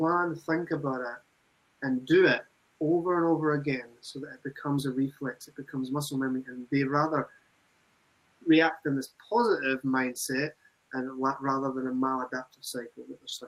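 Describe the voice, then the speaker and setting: Speaking at a fairly quick pace with a Scottish accent, a man uses a fairly high voice, fairly even intonation and big swings in loudness. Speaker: recovery program manager. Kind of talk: webinar discussion.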